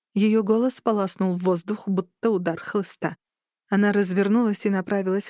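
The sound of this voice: An unforced reading voice with fairly even intonation. The background is quiet.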